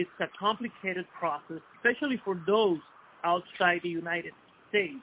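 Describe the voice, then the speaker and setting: A man speaks with a Spanish accent at a moderate pace. His pitch is high. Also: ordinary pitch variation. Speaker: interviewer. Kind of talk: interview. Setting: phone call. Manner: hesitant, many fillers.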